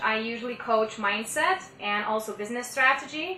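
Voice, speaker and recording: A woman with a non-native accent speaks at a moderate pace in a fairly high pitch, with noticeable background noise and audible room echo. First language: not English. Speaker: mindset and business coach. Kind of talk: podcast interview.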